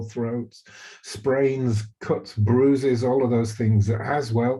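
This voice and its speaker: A man with a British accent speaks in a dark, mellow, somewhat breathy tone with fairly even intonation. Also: quiet background. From Britain. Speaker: physician and webinar host. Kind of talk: webinar presentation. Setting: recorded webinar. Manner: halting, many fillers.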